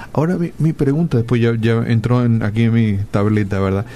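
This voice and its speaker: A man's medium-pitched voice with a Paraguayan accent, over noticeable background noise. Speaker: radio host. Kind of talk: radio interview. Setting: radio studio.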